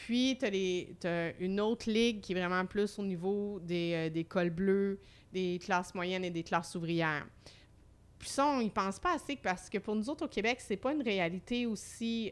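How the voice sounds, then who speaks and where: A woman speaks in a plain, everyday voice at a medium pitch. Her pace is fairly slow. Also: ordinary pitch variation. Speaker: humour researcher and comedy school director. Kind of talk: casual chat.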